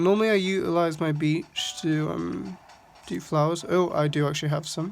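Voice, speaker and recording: Background music under speech at a moderate pace. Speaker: gaming YouTuber. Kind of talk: casual game walkthrough commentary. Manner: hesitant, many fillers.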